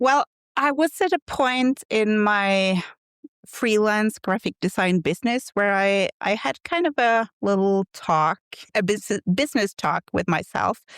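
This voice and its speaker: On a very clean recording with a silent background and a dry, close sound with no echo, a fairly high-pitched woman with a Norwegian accent speaks at a fairly slow pace with very even loudness. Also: lively intonation. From Norway. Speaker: quilt pattern designer. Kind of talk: podcast interview. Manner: halting.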